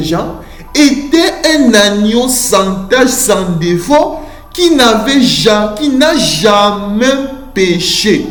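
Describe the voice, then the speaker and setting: With music playing in the background, the speech unfolds at a very slow pace. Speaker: preacher. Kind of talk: sermon. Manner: slow, deliberate.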